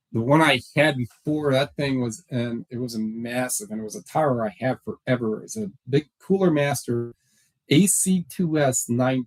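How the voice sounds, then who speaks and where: Loud and lively in intonation, a man speaks at a medium pitch and moderate pace, with a dry, close sound and no echo. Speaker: online reseller vlogger. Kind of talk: casual vlog talk. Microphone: new laptop microphone.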